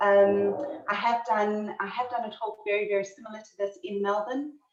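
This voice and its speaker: A woman's fairly even intonation in a room with audible echo. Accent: strong South African. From South Africa. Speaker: history lecturer, optometrist. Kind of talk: lecture. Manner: halting, many fillers.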